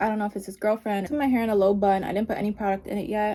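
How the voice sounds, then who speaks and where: The woman has a dark, mellow tone. She speaks at a medium pitch. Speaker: beauty vlogger. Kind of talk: casual vlog chat.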